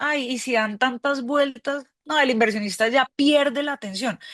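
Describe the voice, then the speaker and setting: In a dry, close recording with no echo, a woman with a high pitch speaks fairly slowly with ordinary pitch variation. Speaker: crowdfunding platform representative. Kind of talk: webinar mentoring talk. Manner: hesitant, repeats words.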